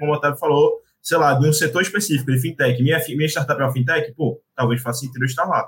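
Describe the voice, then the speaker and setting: This man talks at a fairly quick pace, his voice fairly high in pitch with a bright, sharp tone. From Brazil, Recife. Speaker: venture capital analyst. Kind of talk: casual chat.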